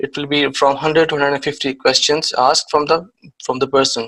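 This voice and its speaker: This man's bright, sharp voice sits at a fairly high pitch with monotone, flat intonation. He speaks at a fairly quick pace. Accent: Pakistani. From Pakistan. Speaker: IT security trainer. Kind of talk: lecture. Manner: hesitant, many fillers.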